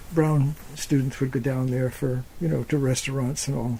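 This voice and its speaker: This man has a fairly high pitch and a dark, mellow tone, sounding somewhat breathy as he talks at a fairly quick pace. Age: 70s. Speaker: retired anthropology professor. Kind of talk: oral history interview. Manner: halting, with many fillers and repetitions.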